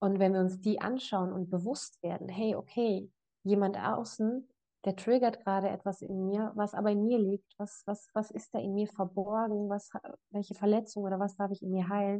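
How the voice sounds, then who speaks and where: A woman speaks at a moderate pace in a monotone with flat intonation. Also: medium pitch for a woman. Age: 20s. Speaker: life coach. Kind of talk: casual chat.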